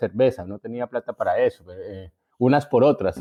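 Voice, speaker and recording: A man speaks with a paisa accent at a medium pitch. His pace is fairly quick. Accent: paisa Colombian, intact. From Colombia, Antioquia (Envigado, Medellín). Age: 50s. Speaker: writer. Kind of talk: interview. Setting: remote from home. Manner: halting.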